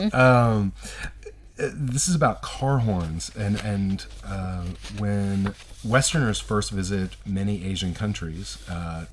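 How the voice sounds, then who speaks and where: Someone speaks in a Southern US accent. The pace is very slow. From US South. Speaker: radio co-host, university lecturer. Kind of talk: educational radio chat. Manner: halting, many fillers.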